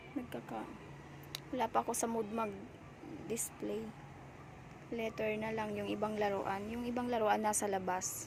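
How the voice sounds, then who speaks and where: In a room with audible echo and noticeable background noise, a woman with a fairly high pitch speaks at a fairly slow pace with fairly even intonation. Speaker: vlogger, sari-sari store owner. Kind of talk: casual vlog tour. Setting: inside a roadside store.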